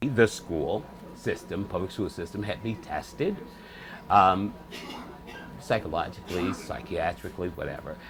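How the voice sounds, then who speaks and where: A man with an American accent talks at a moderate pace in a fairly low pitch, with ordinary pitch variation. He leaves long, frequent pauses while music plays in the background. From Michigan, Detroit area. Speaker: actor and entertainer. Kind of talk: interview. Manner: articulate, proper-sounding.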